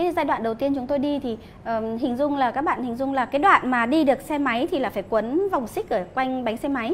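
Light background noise sits behind a woman with a high pitch. She talks at a fairly quick pace with lively intonation. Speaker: interview guest. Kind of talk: interview answer. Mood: animated storytelling. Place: cafe. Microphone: lapel.

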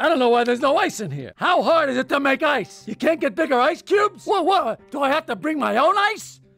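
A man uses a put-on character voice that is whiny and raised, projected outward, at a fairly quick pace. He leaves hardly any pauses, with faint music in the background. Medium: cartoon. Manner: whiny, exasperated outburst.

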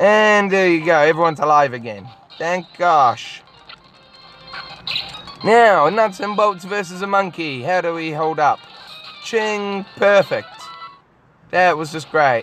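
A woman with a fairly low voice speaks at a fairly slow pace with long, frequent pauses, the sound dry with no echo and faint music playing behind her. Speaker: gamer. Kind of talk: game commentary. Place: car.

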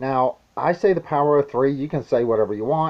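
The background stays quiet. A man does the talking. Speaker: prepping vlogger. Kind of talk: casual vlog chat. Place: home room. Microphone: webcam.

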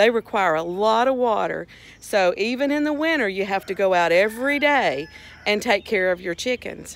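A woman talks at a moderate pace with very wide pitch swings in a dry recording with no echo. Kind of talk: casual vlog chat. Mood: warm, affectionate. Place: garden. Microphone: phone near.

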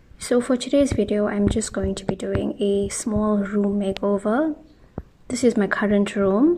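With light background noise behind her, a woman talks at a very slow pace with ordinary pitch variation. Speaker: room makeover vlogger. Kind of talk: casual vlog chat. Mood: relaxed, friendly. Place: home room.

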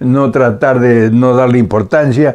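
Against a quiet background, a man speaks fairly slowly with a dark, mellow tone. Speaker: elderly vlogger. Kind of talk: casual vlog chat. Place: home room. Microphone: camera far.

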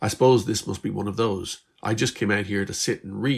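The clip is a natural voice reading aloud.

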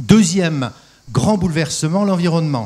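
A man's somewhat breathy voice with lively intonation at a moderate pace. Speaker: industrial company executive. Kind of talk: panel discussion. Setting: stage with audience. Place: stage. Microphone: handheld.

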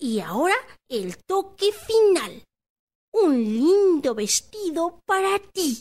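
At a very slow pace, a female-sounding put-on character voice sits at an extremely high pitch with very wide pitch swings. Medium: read story. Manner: hesitant, stammering.

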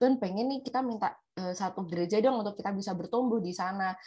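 A woman speaks at a fairly quick pace in a somewhat breathy voice with ordinary pitch variation against a quiet background. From Indonesia. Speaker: former overseas student; talk show guest, friend of pastor. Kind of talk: testimony. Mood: warm, nostalgic. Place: home room. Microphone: video call.

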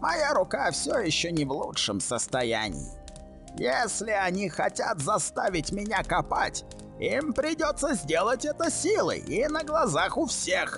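Clear music plays in the background as a man speaks at a high pitch. He keeps a moderate pace and very even loudness. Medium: fan dub. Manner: bitter, defiant.

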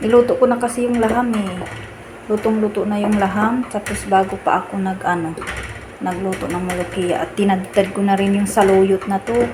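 Medium-pitched female speech, fairly quick, with normal pitch movement over noticeable background noise. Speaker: cooking vlogger. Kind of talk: cooking tutorial.

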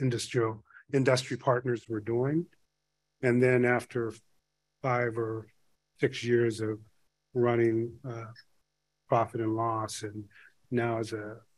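In a quiet setting, a man speaks at a very slow pace, leaving long, frequent pauses. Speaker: panel chair. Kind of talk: conference opening remarks. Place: hall. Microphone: podium.

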